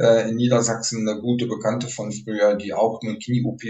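At a fairly quick pace, a man speaks with a somewhat breathy voice, medium pitch and fairly even intonation. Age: 60s. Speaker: retired police officer, therapist. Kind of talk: interview conversation.

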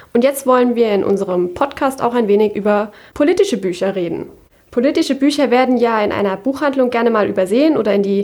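A woman's high, dark, mellow voice with lively intonation at a fairly quick pace. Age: young. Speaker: podcast host, law student. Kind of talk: scripted intro.

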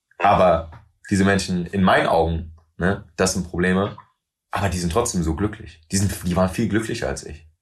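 A man speaks with a very deep, low pitch and a somewhat breathy quality. His pace is moderate and his intonation fairly even. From Germany, Wiesbaden. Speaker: rapper. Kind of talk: interview conversation. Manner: mixes German with English phrases.

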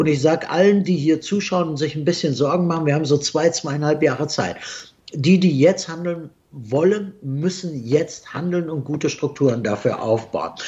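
A fairly high-pitched man speaks at a moderate pace with ordinary pitch variation. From Germany. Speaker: investment strategist, company CEO. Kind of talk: interview. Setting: remote video call from Dubai. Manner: halting, many fillers.

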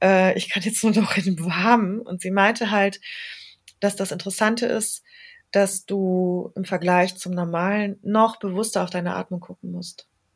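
On a very clean recording with a silent background, a woman speaks at medium pitch and a moderate pace in a monotone, flat intonation. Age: 40s. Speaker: yoga studio owner. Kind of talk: casual interview.

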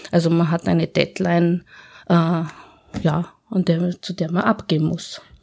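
The recording is very clean, with a silent background. A woman speaks very slowly in a monotone, flat intonation at a fairly low pitch. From Austria, Tyrol (Innsbruck). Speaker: office manager and proofreader. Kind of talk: interview.

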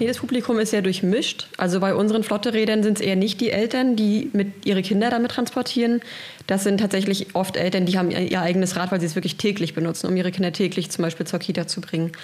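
A woman talks at a very fast pace with a medium pitch. Her intonation is fairly even, and her loudness stays very even. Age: 30s. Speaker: cargo bike project coordinator. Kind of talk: interview. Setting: studio.

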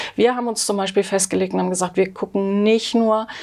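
A woman talks with ordinary pitch variation. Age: 50s. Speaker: sociology professor. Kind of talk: interview. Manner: hesitant, many fillers.

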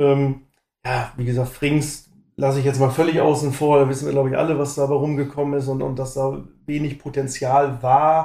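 With a dark, mellow tone and fairly high pitch, a man speaks at a moderate pace in a monotone, flat intonation. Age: 40s. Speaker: football fan, forum member. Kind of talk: casual chat.

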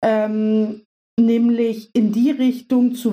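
The woman's voice has a fairly high pitch. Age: 30s. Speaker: business consultant. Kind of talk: casual interview. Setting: video call.

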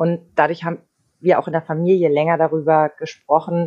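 Speaking at a fairly quick pace, a woman has a very deep, low pitch and a dark, mellow tone. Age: 30s. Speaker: radio host. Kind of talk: casual chat.

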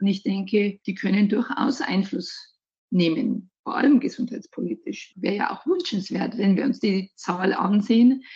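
A woman speaks at a moderate pace with a medium pitch. Her voice is somewhat breathy, with ordinary pitch variation. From Bavaria, Germany. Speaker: hospital recruiting manager. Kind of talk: interview.

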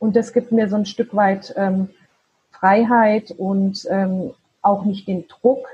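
Very slow and somewhat breathy, a woman's voice has a dark, mellow tone, a medium pitch and fairly even intonation. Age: 40s. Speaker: virtual assistant and side-business founder. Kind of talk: interview. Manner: halting, many fillers.

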